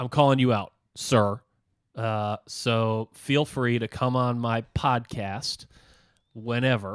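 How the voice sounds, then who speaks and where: Speaking very slowly with long, frequent pauses, a man's medium-pitched voice stays monotone and flat, recorded very cleanly against a silent background with a dry, close sound and no echo. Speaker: podcast co-host. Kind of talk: casual banter. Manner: hesitant, filler-heavy.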